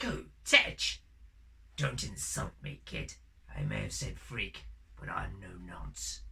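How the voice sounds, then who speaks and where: A put-on character voice, raspy and very deep and low in pitch, moves at a fairly slow pace with long, frequent pauses. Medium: short film. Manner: joking, theatrical, punning.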